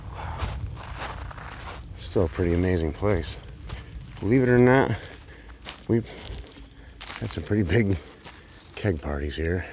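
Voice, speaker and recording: The speech moves at a moderate pace, with long, frequent pauses. Background noise is noticeable. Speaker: urban explorer vlogger. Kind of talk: walking video tour narration. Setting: outdoors. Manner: soft-spoken.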